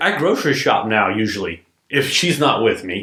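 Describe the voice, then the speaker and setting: Lively intonation from a man in a Southern US accent. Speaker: business owner. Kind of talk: podcast interview.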